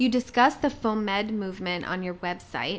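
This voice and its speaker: A woman with a Canadian accent, a plain, everyday voice, ordinary pitch variation and a moderate pace. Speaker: podcast host, physician assistant. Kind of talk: interview.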